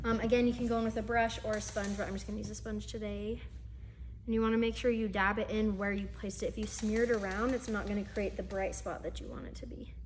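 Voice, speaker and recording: Speech at a very fast pace comes through with audible room echo and music in the background. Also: woman. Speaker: makeup instructor. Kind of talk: tutorial.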